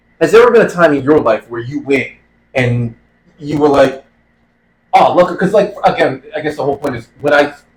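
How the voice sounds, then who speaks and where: Somewhat breathy and fairly high-pitched, a man talks at a fairly quick pace with lively intonation and long, frequent pauses. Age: middle-aged. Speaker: podcast co-host. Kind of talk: casual chat.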